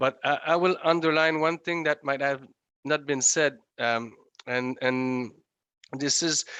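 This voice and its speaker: Over a quiet background, a man with a non-native accent talks in a fairly high pitch, his bright, sharp tone and fairly even intonation coming through dry and close with no echo. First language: French. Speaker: legislator. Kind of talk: conference remarks. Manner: halting, many hesitations.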